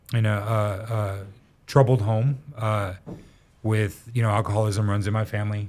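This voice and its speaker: A man with an American accent speaks in a fairly low, somewhat breathy voice. His intonation stays flat and monotone. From Oregon, then Colorado Springs. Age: 40s. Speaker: recovery support worker. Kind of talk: interview testimony. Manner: halting, many fillers.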